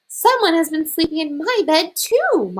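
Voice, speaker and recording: A put-on character voice that sounds female, squeaky and growling at once, pitched extremely high and moving at a moderate pace. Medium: read story.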